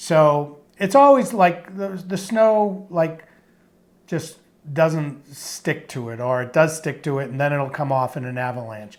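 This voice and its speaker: A man with a Boston accent speaks fairly slowly, at a fairly high pitch, with lively intonation. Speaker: podcast co-host. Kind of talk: casual chat. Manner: halting.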